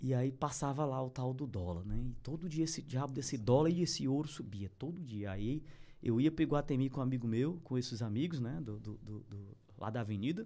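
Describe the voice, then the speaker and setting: Moderately paced speech from a man, medium in pitch, dark and mellow in tone, with lively intonation. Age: 40s. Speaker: animal feed business owner. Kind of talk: casual interview. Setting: studio.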